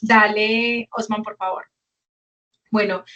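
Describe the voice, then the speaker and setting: A woman with a fairly high pitch and an unremarkable speaking voice talks at a fairly slow pace. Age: 40s. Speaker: educational program coordinator. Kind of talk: webinar presentation.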